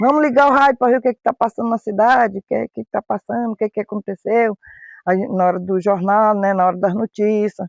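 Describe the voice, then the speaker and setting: Speaking fairly quickly with fairly even intonation, a high-pitched man shows big swings in loudness, the sound dry and close with no echo. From rural Goiás, Brazil. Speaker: radio listener. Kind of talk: documentary interview.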